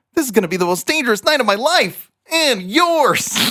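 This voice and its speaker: In a put-on character voice with a dramatic tone, a man speaks at an extremely high pitch with very wide pitch swings, very even loudness and a fairly quick pace. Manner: dramatic, heroic.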